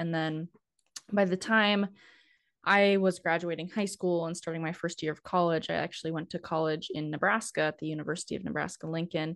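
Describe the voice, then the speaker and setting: Speaking fairly quickly with a North Dakota accent, a woman keeps a fairly even intonation and a fairly low pitch over a quiet background. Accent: northern US (North Dakota). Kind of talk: casual interview chat.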